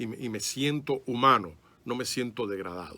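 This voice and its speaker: The man's tone is bright and sharp as he talks at a moderate pace, with ordinary variation in pitch. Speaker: private detective, ex-police, speaker on esoteric history. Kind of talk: radio interview. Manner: fluent, slightly halting with fillers.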